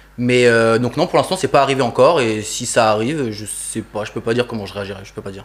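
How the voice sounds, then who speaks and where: With hardly any pauses, a man talks very fast at a medium pitch, his loudness swinging widely and his pitch varying in an ordinary way, against noticeable background noise. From France, Toulouse (grew up). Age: 20s. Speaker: sneaker customizer artist. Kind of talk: casual interview chat.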